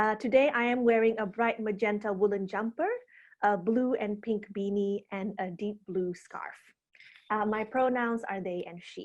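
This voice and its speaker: An Indonesian accent at a moderate pace with fairly even intonation. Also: woman, fairly high pitch for a woman, big swings in loudness. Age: 30s. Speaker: arts producer and researcher. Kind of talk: webinar presentation. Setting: video call.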